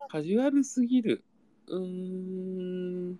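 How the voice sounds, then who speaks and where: Very slow speech from a man with a high pitch. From Japan, Ibaraki. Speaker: podcast co-host. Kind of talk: casual chat.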